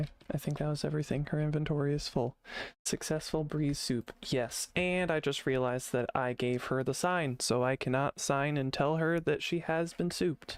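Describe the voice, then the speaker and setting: An unremarkable speaking voice moves at a moderate pace with fairly even intonation and very even loudness. The recording is very clean, with a silent background. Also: man, fairly high pitch for a man. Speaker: gaming streamer. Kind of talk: casual gameplay commentary.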